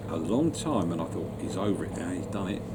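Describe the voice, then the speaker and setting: Through noticeable background noise and audible room echo, a man talks at a fairly low pitch. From London. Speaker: retired musician. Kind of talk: interview. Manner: halting.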